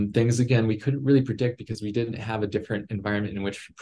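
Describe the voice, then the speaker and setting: A man with an American accent talks at a very fast pace, fairly low in pitch, somewhat breathy and with fairly even intonation. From West Texas. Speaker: aerospace engineer and executive; guest. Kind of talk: interview. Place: home room. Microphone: video call.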